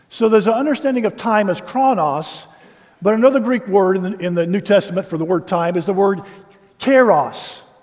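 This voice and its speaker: A man at a high pitch and fairly quick pace, ordinary pitch variation, over noticeable background noise. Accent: American. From US South, Tennessee. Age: 60s. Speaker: pastor. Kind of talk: sermon.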